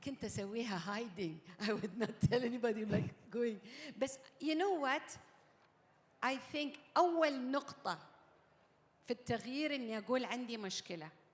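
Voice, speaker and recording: With a Gulf Arabic accent, a woman of fairly high pitch talks at a fairly slow pace with lively intonation and long, frequent pauses. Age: 60s. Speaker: summit panel speaker. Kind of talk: panel interview. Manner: code-switching Arabic and English.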